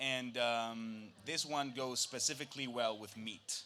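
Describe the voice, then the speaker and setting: This man talks at a medium pitch with ordinary pitch variation. His tone is bright and sharp. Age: 20s. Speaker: food producer. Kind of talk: live product presentation. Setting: stage with audience.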